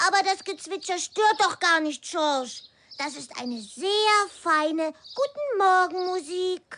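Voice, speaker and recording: An extremely high pitch in a put-on character voice. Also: fairly slow pace. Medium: audio drama. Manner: gentle, friendly.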